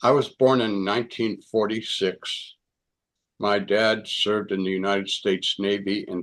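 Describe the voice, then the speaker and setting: A man with an American accent talks at a fairly slow pace in a fairly low pitch. His intonation is monotone and flat, over a quiet background. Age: 70s. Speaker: near-death experience speaker. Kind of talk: testimony.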